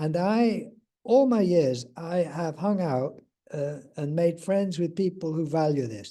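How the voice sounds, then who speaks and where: With an English accent, a man speaks at a very slow pace in a dark, mellow tone with a high pitch and lively intonation. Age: 70s. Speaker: spiritual teacher. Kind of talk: casual interview chat.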